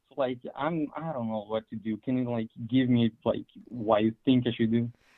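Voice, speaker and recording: Man at a moderate pace, medium in pitch. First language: not English. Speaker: caller. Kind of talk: telling a personal story. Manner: halting.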